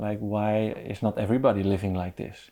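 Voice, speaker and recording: A man's dark, mellow voice at medium pitch, on a very clean recording with a silent background. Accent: Dutch. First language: Dutch. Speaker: podcast host. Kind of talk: interview conversation. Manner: halting.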